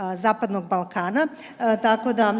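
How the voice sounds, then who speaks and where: Over noticeable background noise, a woman with a fairly high voice speaks with fairly even intonation. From Serbia. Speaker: energy policy official. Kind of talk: panel discussion. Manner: halting, many fillers.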